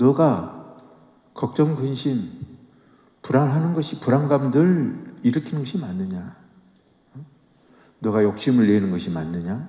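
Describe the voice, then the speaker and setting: With a dark, mellow tone and very wide pitch swings, the speaker goes at a very slow pace, leaving long, frequent pauses amid audible room echo. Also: man, medium pitch for a man. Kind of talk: sermon. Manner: conversational, with fillers.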